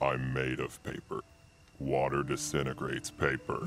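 A man uses a cartoonish character voice with very deep, low pitch. He keeps a moderate pace. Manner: curt, dismissive.

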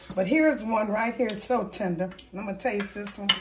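A woman speaks at a fairly quick pace with ordinary pitch variation. Noticeable background noise is present. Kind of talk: casual cooking tutorial. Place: kitchen. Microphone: phone near.

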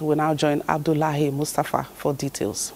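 A woman's voice, very deep and low in pitch. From Nigeria. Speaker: news anchor. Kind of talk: news reading. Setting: studio. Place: studio.

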